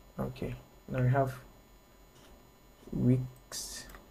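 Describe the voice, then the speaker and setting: A man's voice with audible room echo. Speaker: graphic design instructor. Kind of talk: online tutorial.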